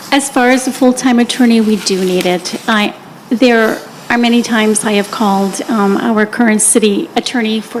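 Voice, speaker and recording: Noticeable background noise surrounds the recording. A woman speaks at a moderate pace. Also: fairly high pitch for a woman, fairly even intonation. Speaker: city council candidate. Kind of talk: candidate forum answers. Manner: quiet.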